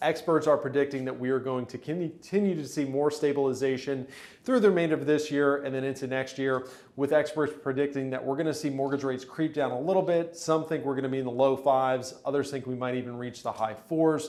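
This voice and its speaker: A man with an upbeat tone, a fairly high pitch and a very fast pace. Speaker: real estate agent. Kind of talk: market update video. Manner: casual, upbeat.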